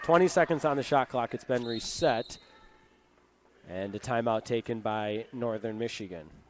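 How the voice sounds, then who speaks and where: Over noticeable background noise, a man of medium pitch talks with long, frequent pauses. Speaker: sports broadcaster, play-by-play announcer. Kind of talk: live basketball play-by-play commentary. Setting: broadcast booth.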